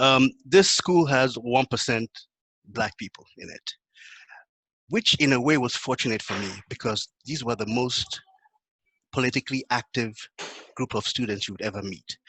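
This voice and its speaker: A man with a Nigerian accent talks at a moderate pace in a medium pitch, using ordinary pitch variation and long, frequent pauses. His bright, sharp tone swings widely in loudness, and the sound is dry and close with no echo. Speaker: panelist. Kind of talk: panel discussion.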